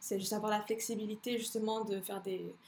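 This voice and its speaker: A woman speaks very fast at a fairly high pitch. Her intonation is monotone and flat. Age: 20s. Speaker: fitness coach and bikini athlete. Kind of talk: casual chat.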